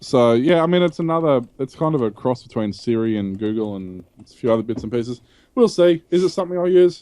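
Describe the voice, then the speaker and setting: In an Australian accent, the voice has a dark, mellow tone, very wide pitch swings and a fairly quick pace. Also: man, medium pitch for a man. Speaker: tech podcast host. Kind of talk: casual chat.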